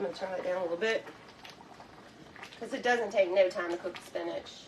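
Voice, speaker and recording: Over noticeable background noise, a woman talks at a very fast pace, her loudness swinging widely and her pitch varying in an ordinary way. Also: medium pitch for a woman. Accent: Southern US. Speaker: cooking show host. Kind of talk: cooking tutorial. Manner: casual chatty.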